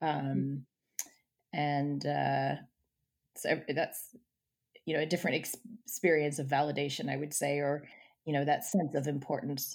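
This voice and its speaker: A woman speaks at a moderate pace in a very deep, low voice with vocal fry, fairly even intonation, and long, frequent pauses. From British American, dual citizen. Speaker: psychotherapist. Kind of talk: interview. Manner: hesitant, many fillers.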